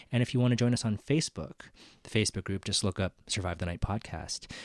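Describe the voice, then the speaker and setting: A man with an ordinary speaking voice, fairly low in pitch and with ordinary pitch variation, is heard in a very clean recording over a silent background. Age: 30s. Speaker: podcast co-host. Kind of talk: casual chat.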